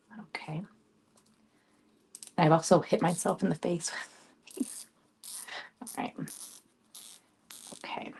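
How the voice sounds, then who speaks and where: A soft-spoken, somewhat breathy woman with a fairly low pitch, ordinary pitch variation, big swings in loudness, a fairly slow pace, and long, frequent pauses. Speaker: craft tutorial host, wreath maker. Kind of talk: tutorial. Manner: casual, hesitant.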